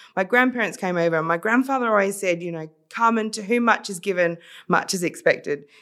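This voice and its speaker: A woman with an Australian accent speaks at a fairly quick pace and medium pitch, with ordinary pitch variation. The recording is very clean, with a silent background. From South Australia, Adelaide. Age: 40s. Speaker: social entrepreneur. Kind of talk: casual interview.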